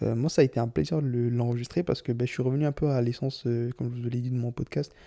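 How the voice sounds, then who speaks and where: Very fast speech from a man with a dark, mellow tone and medium pitch, on a very clean recording with a silent background. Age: 20s. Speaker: solo podcaster. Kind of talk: personal monologue.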